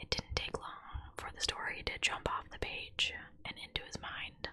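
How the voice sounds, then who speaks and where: Moderately paced whispering by a woman over noticeable background noise. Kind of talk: whispered true crime narration. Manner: whispered, soft.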